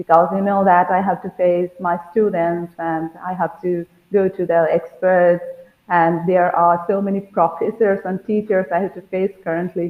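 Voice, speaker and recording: A woman talks at a moderate pace in a fairly low pitch. Her intonation is monotone and flat. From India, West Bengal. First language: Bengali. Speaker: school teacher, language learner. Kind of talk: interview. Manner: halting.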